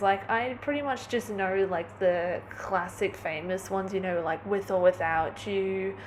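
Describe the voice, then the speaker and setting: Amid noticeable background noise, a woman talks at a moderate pace and a medium pitch. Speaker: vlogger. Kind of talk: casual vlog monologue. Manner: animated.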